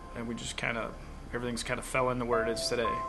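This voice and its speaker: A man with an American accent speaks with music in the background. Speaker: auctioneer. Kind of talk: interview answer.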